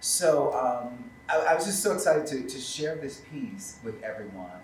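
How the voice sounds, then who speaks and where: A man with an American accent talks at a moderate pace, with very wide pitch swings and big swings in loudness. Noticeable background noise runs behind him. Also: fairly high pitch for a man. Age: 50s. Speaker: theatre company leader. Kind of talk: panel discussion.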